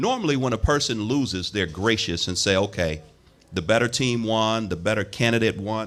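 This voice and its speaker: A man's plain, everyday voice at a medium pitch, with ordinary pitch variation and a moderate pace. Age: 60s. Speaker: local politician. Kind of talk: radio interview.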